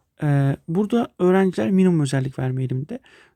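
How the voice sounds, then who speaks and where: A dark, mellow, somewhat breathy voice moves at a very fast pace with ordinary pitch variation. The sound is dry and close with no echo, on a very clean recording with a silent background. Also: man. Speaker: math teacher. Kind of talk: lecture. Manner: hesitant, many fillers.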